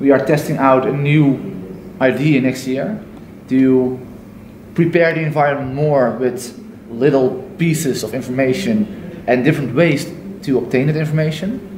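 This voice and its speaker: A man's fairly high voice with lively intonation at a fairly slow pace, with light background noise and audible room echo. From Netherlands. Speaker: Montessori school staff, audience participant. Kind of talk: audience contribution in discussion. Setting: conference workshop. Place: hall. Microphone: camera far.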